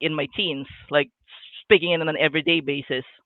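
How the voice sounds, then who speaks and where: Fairly low-pitched woman's voice, fairly quick pace, monotone, flat intonation. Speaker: fantasy author. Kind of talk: casual chat. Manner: halting, repeats words.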